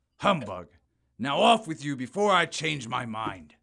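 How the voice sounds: A man puts on a character voice at a medium pitch, fairly bright with vocal fry, moving fairly slowly through big pitch swings.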